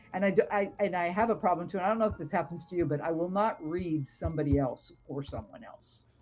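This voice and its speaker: A woman with an American accent speaks at a very fast pace with hardly any pauses. Her fairly low voice is somewhat breathy. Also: ordinary pitch variation. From US West Coast, Southern California. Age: 70s. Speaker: tarot reader and psychic. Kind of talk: casual interview conversation.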